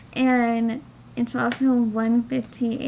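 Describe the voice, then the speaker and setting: Background noise is clearly noticeable. Her voice sits fairly high for a woman. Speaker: aspiring novelist vlogger. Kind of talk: casual vlog.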